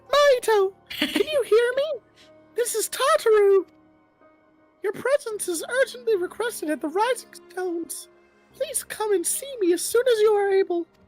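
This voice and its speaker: An extremely high-pitched put-on character voice at a moderate pace, with faint music in the background. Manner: polite, formal request.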